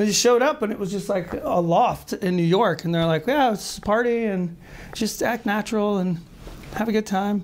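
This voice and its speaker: Speaking at a moderate pace with an American accent, a man has a high pitch and ordinary pitch variation. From US South (Marietta, Georgia). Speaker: actor and writer. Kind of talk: interview. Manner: hesitant, many fillers.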